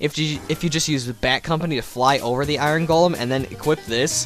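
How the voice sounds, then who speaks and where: A man at a fairly quick pace, fairly high-pitched with ordinary pitch variation, music in the background. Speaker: let's play gamer. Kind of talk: video game commentary. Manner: casual, hesitant.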